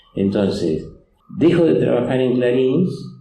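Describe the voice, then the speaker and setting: The speaker goes at a fairly slow pace. Room echo is audible. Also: man. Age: 80s+. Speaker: comic artist. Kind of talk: public interview. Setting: stage with audience. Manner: halting, many fillers.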